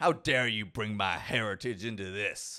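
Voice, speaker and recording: Growling in a put-on character voice, a man with a fairly low pitch speaks at a moderate pace on a very clean recording with a silent background. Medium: actual play. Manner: prim, superior.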